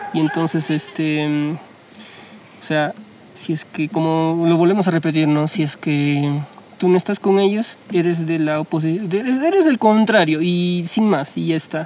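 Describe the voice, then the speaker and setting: This man has a high pitch. His pitch varies an ordinary amount. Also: fairly slow pace. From Peru, Huancayo. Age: 20s. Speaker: architecture student. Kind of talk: casual chat.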